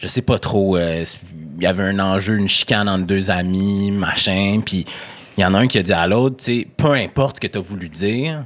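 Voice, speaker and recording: A man with a Quebec accent speaks at a moderate pace in a fairly low pitch, with ordinary pitch variation. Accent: Québécois. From Quebec City area (Sainte-Foy). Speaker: TV host. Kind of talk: podcast interview conversation.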